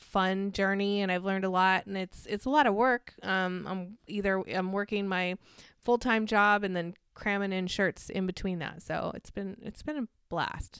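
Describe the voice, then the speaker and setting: On a very clean recording with a silent background, a woman with an American accent and a normal speaking voice talks at a moderate pace and medium pitch, with fairly even intonation and hardly any pauses. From California desert, US. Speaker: co-host and interviewee. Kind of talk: casual interview chat.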